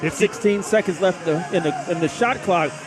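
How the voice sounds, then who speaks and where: Music plays in the background as a man with a high pitch and ordinary pitch variation talks at a fairly quick pace. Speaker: basketball color commentator, former coach. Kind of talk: live sports broadcast color commentary.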